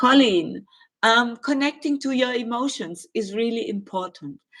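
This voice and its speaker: Speaking fairly slowly in a German accent, a woman uses a fairly high voice with lively intonation. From Germany. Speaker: spiritual medium and astrologer. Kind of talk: live stream Q&A. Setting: live stream. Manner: hesitant, with filler words.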